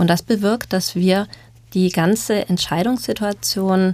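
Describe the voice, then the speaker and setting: This woman has a dark, mellow tone and fairly even intonation. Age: 30s. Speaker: social psychologist. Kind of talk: panel discussion.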